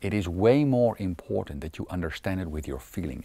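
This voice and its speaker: With a Dutch accent and vocal fry, a man with a very deep, low pitch and a dark, mellow tone speaks at a moderate pace in very wide pitch swings, on a very clean recording with a silent background. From Netherlands. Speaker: self-help coach. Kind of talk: self-help talk to camera.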